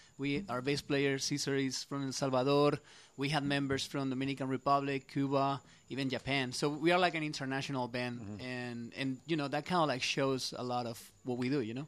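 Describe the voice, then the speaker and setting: Over a quiet background, a man with a Spanish accent talks at a fairly quick pace, his fairly high pitch held in fairly even intonation. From Spain. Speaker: musician in a band. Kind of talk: casual interview.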